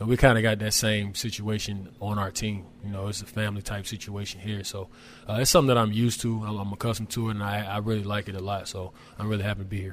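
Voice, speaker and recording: Here a man talks very fast with an American accent. His intonation is monotone and flat. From Charlotte, North Carolina. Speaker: pro basketball player. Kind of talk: interview.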